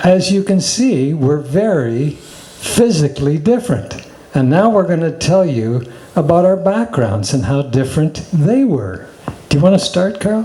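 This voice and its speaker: Noticeable background noise sits behind a man with a Canadian accent who speaks at a moderate pace and a fairly high pitch, making very wide pitch swings. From Canada, Toronto. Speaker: spiritual teacher. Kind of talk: casual chat.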